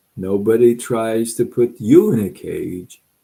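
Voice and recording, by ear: This clip is reading aloud in a natural voice.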